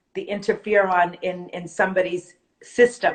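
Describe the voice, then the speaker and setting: Fairly even in intonation, a woman talks in a New Jersey accent. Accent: New Jersey American. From North Jersey, US. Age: 50s. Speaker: supplement distributor. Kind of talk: product presentation.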